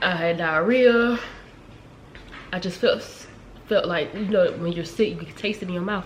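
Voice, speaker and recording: A woman at medium pitch talks at a moderate pace with ordinary pitch variation, big swings in loudness and long, frequent pauses, over noticeable background noise. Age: 20s. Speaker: lifestyle vlogger. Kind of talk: casual talk to camera.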